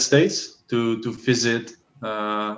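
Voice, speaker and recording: A man's medium-pitched voice with a Dutch accent. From Netherlands. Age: 30s. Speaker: language assistant. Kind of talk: casual chat.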